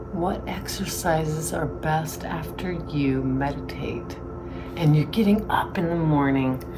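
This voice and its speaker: A woman with a very deep, low pitch and ordinary pitch variation, at a fairly slow pace, with music in the background and audible room echo. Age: 60s. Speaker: yoga instructor. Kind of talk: tutorial. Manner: relaxed, breathy cues.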